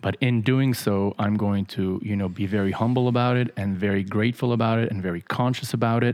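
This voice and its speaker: A man with an ordinary speaking voice, fairly low in pitch, at a fairly quick pace with hardly any pauses and fairly even intonation. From grew up in Paris, Mexico City, Los Angeles, New York. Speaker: podcast co-host on spirituality. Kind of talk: casual spiritual discussion.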